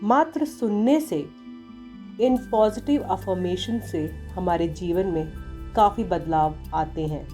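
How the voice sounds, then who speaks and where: A woman's speech broken by long, frequent pauses, with music in the background. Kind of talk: spoken introduction to an affirmation recording.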